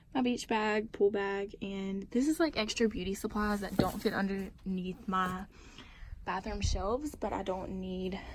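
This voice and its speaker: A somewhat breathy woman's voice at medium pitch, ordinary pitch variation and a fairly slow pace. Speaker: vlogger. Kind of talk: casual vlog.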